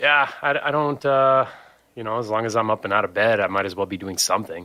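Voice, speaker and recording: With an American accent, a man talks at a fairly quick pace in a medium pitch, his tone bright and sharp and his pitch variation ordinary. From Michigan, Saginaw/Midland area. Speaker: punk musician and war veteran. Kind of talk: podcast interview. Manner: halting, many fillers.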